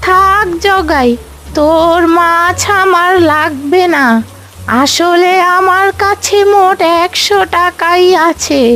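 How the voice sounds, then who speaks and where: In a cartoonish character voice, a woman speaks at an extremely high pitch and a very slow pace. Clear background noise runs behind her. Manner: gentle, humble.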